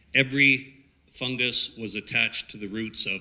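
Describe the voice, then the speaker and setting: A man with a Canadian accent speaks at a medium pitch and a moderate pace, in a bright, sharp tone with ordinary pitch variation. The recording is very clean, with a silent background. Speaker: forest ecologist. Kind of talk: public presentation.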